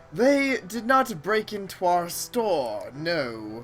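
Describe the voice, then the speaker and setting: A put-on character voice at a very slow pace, over clear background noise. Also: woman. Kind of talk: comic overacting. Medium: game stream. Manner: haughty, condescending.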